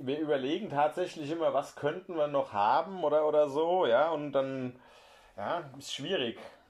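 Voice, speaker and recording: This man has a plain, everyday voice, pitched fairly high, with typical pitch movement and a moderate tempo. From Hessen, Germany (Heppenheim). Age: 40s. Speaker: newspaper journalist. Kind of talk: casual chat.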